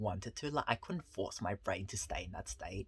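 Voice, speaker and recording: A man speaks with vocal fry. The recording is very clean with a silent background. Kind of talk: casual talk to camera.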